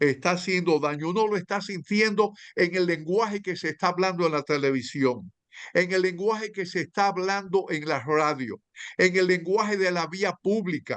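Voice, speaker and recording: A man speaks at a high pitch and a moderate pace, with ordinary pitch variation. The background is quiet. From Dominican Republic. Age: 80s+. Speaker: novelist. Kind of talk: panel discussion. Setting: video call. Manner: halting, many fillers and repetitions.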